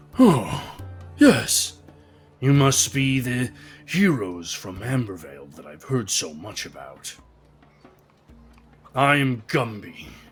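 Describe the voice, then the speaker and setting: Using a put-on character voice at medium pitch, a man speaks at a fairly slow pace with long, frequent pauses while faint music plays in the background. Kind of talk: formal. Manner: polite and welcoming.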